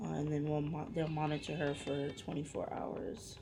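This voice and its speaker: Fairly slow female speech, with audible room echo and noticeable background noise. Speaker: vlogger, mother of a preemie in NICU. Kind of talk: casual vlog. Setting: hospital NICU room. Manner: soft-spoken.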